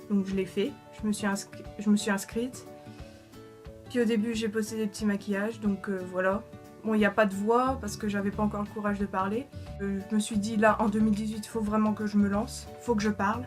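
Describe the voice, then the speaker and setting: Woman speaking at a fairly quick pace, long, frequent pauses, monotone, flat intonation, music in the background. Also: medium pitch for a woman. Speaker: makeup YouTuber. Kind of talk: casual talk to camera. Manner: hesitant, stammering.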